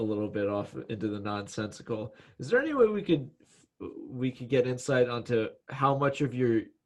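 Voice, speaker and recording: A man speaks in an unremarkable speaking voice at a moderate pace. His pitch sits in the middle range, with ordinary variation. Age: 20s. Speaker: podcast host. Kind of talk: podcast interview. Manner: joking, casual.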